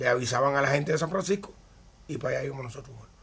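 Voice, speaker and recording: A man talks at a very fast pace in a Cuban accent. His pitch variation is ordinary. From Cuba, Havana. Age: 60s. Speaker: retired baseball pitcher. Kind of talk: interview.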